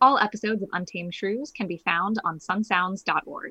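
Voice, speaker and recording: A woman with a plain, everyday voice talks at a fairly quick pace, her medium pitch showing ordinary pitch variation. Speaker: theater podcast host. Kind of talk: casual chat.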